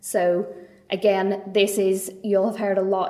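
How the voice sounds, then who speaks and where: Audible room echo surrounds this recording. A woman speaks at a medium pitch in a Northern Irish accent. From Northern Ireland. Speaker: trade mark attorney. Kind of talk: lecture. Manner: hesitant, many fillers and repetitions.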